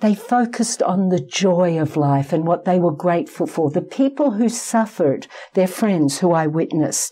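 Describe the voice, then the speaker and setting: A woman with an Australian accent speaks at a moderate pace with hardly any pauses, fairly low in pitch, her intonation lively and her loudness very even, over noticeable background noise. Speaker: psychologist. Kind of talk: interview.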